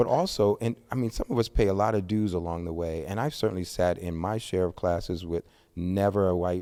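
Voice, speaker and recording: A man's very deep, low voice with an American accent and a dark, mellow tone, at a very fast pace with fairly even intonation. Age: 60s. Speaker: pastor and author. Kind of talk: podcast interview.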